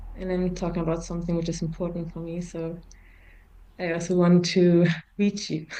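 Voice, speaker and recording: A woman with a German accent speaks at a fairly quick pace in a dark, mellow tone, her pitch fairly low and her intonation monotone and flat. Long, frequent pauses break her speech, and there is audible room echo. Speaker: forum trainer. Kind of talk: interview. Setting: video call. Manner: halting.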